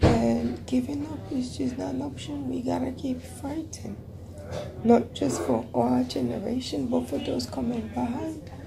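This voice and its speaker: Loud background noise behind a woman speaking at a fairly slow pace with ordinary pitch variation. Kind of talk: casual vlog chat. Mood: weary but determined. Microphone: earbuds.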